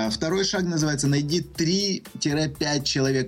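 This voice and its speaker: A man's fairly high voice comes through with music playing in the background. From Ukraine, Kyiv. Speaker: success coach. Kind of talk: radio interview.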